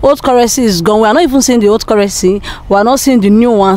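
A high-pitched woman with ordinary pitch variation, dry sound with no echo, and light background noise. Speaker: interviewee. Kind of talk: interview answer. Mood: frustrated about the cash shortage. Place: street. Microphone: handheld.

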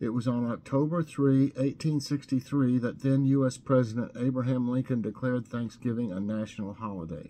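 A man's dark, mellow tone, ordinary pitch variation and moderate pace over light background noise. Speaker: home vlogger. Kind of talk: casual vlog chat. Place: kitchen. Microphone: webcam.

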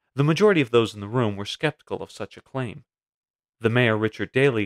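A man with medium pitch and ordinary pitch variation, an ordinary speaking voice, on a very clean recording with a silent background and a dry, close sound free of echo. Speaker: video narrator. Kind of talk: history documentary narration. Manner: measured, storytelling; formal, clear.

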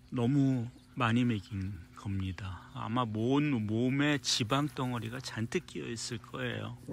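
A man at a very slow pace with hardly any pauses, dry sound with no echo, and light background noise. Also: ordinary pitch variation. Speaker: dog trainer. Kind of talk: casual video vlog narration to camera. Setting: outdoors at a dog school. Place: garden. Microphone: phone near.

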